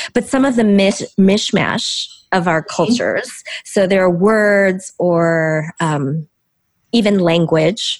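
A woman speaks with a plain, everyday voice at a medium pitch. Her pace is fairly slow, with ordinary pitch variation. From US Midwest, Chicago. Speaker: author and speaker. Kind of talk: interview conversation. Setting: video call.

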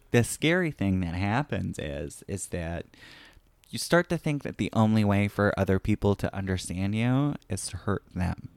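A man with an American accent speaks at a moderate pace, his fairly low voice carrying lively intonation in a very clean recording with a silent background. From rural small town, US. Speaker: stand-up comedian. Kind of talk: casual chat. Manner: hesitant, many fillers.

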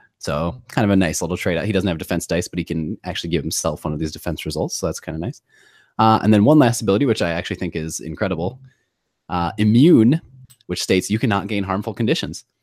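Lively intonation comes at a very fast pace in a very clean recording with a silent background. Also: man, very deep, low pitch for a man. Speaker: tabletop gaming podcast co-host. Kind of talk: casual chat.

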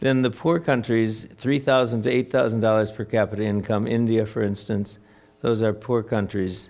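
In an American accent, a normal speaking voice talks at a moderate pace with fairly even intonation. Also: man. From US Midwest, Wisconsin. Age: 60s. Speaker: theologian and author. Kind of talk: Q&A talk. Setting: stage with audience.

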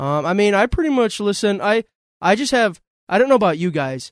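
With an American accent, the speaker uses lively intonation at a moderate pace, in a very clean recording with a silent background and a dry, close sound with no echo. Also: man. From Western New York, North Tonawanda area. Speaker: local theater actor. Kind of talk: casual chat.

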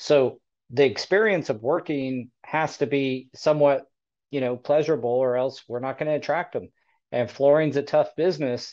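Against a quiet background, a man with a normal speaking voice talks at a moderate pace and fairly high pitch, with ordinary pitch variation. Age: 40s. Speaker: podcast host for flooring installers. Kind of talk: casual panel discussion.

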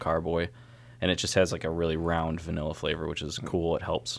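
A man with a very deep, low voice and vocal fry talks at a very fast pace with fairly even intonation. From upstate New York (Syracuse). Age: 20s. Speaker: brewer. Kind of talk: casual chat.

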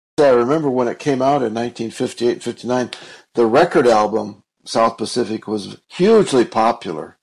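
This man has a normal speaking voice, medium in pitch, at a moderate pace. The recording is very clean, with a silent background. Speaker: movie podcast co-host. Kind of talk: casual chat reviewing a film.

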